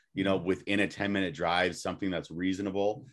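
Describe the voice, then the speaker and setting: Against a quiet background, a man speaks with a very deep, low pitch. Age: 30s. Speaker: podcast guest or co-host. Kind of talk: casual chat. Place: home room. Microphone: webcam.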